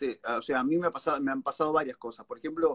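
A man's very fast, lively speech in a Rioplatense accent, fairly high-pitched, with a dry, close sound and no echo. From Argentina, La Plata. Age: 40s. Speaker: stand-up comedian. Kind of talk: casual interview.

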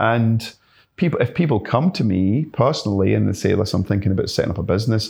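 Speaking at a very fast pace, a man with a medium pitch shows vocal fry. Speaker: pest control business owner. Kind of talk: casual interview chat.

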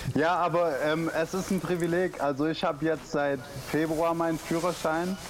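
Against noticeable background noise, a man with a high pitch speaks at a moderate pace in a monotone, flat intonation. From Stuttgart, southwest Germany. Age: 20s. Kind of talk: casual interview. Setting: Skype call.

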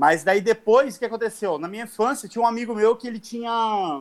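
A very clean recording with a silent background, featuring a man at a moderate pace. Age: 40s. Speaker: competitive fighting game player. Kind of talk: casual chat.

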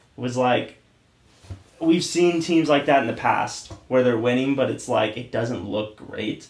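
A man with an unremarkable speaking voice, ordinary pitch variation, and a fairly slow pace. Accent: American. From Oregon. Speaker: podcast co-host. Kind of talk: casual chat.

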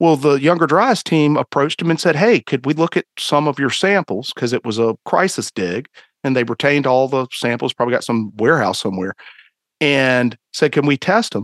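A man with a fairly high voice and a Southern US accent speaks at a moderate pace with lively intonation. The background is quiet, and the sound is dry and close with no echo. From North Carolina, Greensboro. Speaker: citizen archaeologist and blogger. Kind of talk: casual chat.

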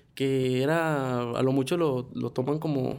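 A man talks with a fairly high pitch and a dark, mellow tone. His intonation stays fairly even. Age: 20s. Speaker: podcast co-host. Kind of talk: personal testimony; casual chat.

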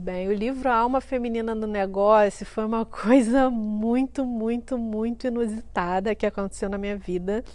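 A woman's high-pitched voice in a Rio de Janeiro accent, with ordinary pitch variation. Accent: Carioca Brazilian Portuguese. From Rio de Janeiro, Brazil (Duque de Caxias). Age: 30s. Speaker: entrepreneur and author. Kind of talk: interview testimony.

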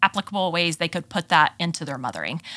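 Speaking very fast, a woman with an American accent has a fairly low pitch and a bright, sharp tone. The recording is very clean with a silent background. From Texas. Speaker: moms' ministry leader. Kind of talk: casual interview.

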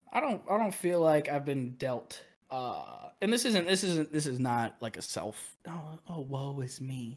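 A man with a fairly high pitch talks at a fairly slow pace with hardly any pauses, on a very clean recording with a silent background. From US Midwest (Quad Cities, Illinois). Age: 20s. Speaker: aspiring streamer and part-time bartender. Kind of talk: casual chat.

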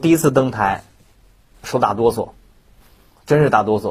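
A man is speaking. His voice is somewhat breathy. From Shandong, China. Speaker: Peking opera performer. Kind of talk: interview.

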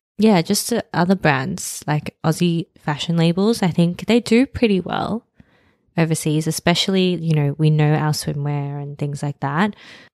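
Dry and close with no echo, this recording has a woman speaking with an Australian accent. Her fairly low voice moves at a moderate pace with ordinary pitch variation. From Sydney, Australia. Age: 30s. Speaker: podcast co-host. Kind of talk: casual chat.

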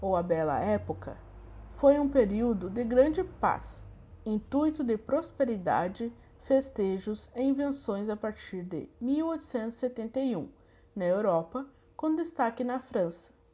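A woman speaks at a very slow pace with long, frequent pauses. Her fairly high, somewhat breathy voice has lively intonation. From southern Brazil, Santa Maria. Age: 20s. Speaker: student teacher. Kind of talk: recorded lesson reading.

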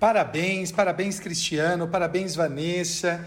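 This man's voice sits high in pitch, and he talks at a fairly slow pace. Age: 40s. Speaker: law professor. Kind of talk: casual chat.

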